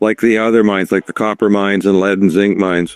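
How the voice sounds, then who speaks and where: A man speaks at a very fast pace and a fairly low pitch. The sound is dry and close, with no echo. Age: 70s. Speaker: precious metals commentator. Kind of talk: interview. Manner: halting.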